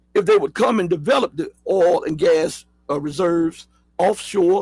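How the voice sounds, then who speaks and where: In a Southern accent, a man speaks at a high pitch and a fairly slow pace with ordinary pitch variation. The sound is dry and close, with no echo. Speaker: political news commentator. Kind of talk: live news commentary show. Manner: casual, with many fillers and repetitions.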